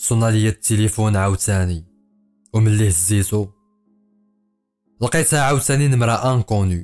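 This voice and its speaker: With music in the background, a man with a Fez accent talks fairly slowly at a fairly low pitch. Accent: Moroccan Arabic (Fez). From Fez, Morocco. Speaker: storyteller, writer, poet. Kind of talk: first-person horror story narration.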